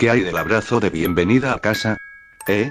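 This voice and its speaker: With music in the background, a man does a hoarse, put-on character voice at medium pitch and a moderate pace with ordinary pitch variation. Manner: gruff, demanding.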